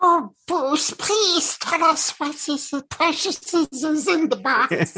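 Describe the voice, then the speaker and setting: Someone uses a put-on character voice, high-pitched and very slow. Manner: playful, comedic.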